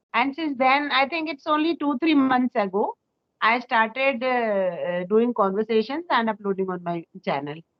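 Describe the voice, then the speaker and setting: A woman with an Indian accent, high-pitched, at a moderate pace and with very wide pitch swings. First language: Hindi. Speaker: school teacher. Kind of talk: casual chat. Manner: halting.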